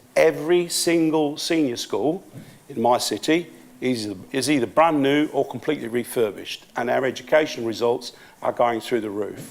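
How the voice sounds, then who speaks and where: A man talks at a medium pitch and a moderate pace with ordinary pitch variation. Noticeable background noise runs underneath. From Peterborough, eastern England, Italian family. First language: Italian. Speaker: local council leader. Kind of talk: conference speech.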